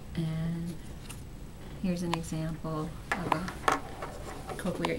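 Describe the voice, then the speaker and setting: This is a woman's voice. Loud background noise runs behind her. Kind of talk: explanatory interview demonstration. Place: office.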